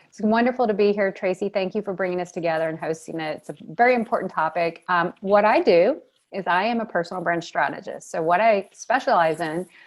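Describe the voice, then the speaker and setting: A woman speaks at a fairly quick pace with hardly any pauses and a slight Southern US accent. Her pitch is medium, with ordinary variation. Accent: American with a slight Southern touch. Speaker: personal brand strategist. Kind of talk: panel discussion. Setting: video call.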